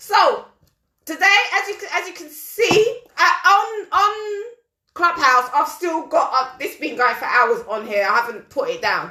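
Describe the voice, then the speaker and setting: Using a raised, projected voice with a London accent, a woman speaks at a fairly slow pace with very wide pitch swings. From London, England. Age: 40s. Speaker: talk show host. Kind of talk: live-stream chat reading horoscopes. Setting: live audio stream on social media.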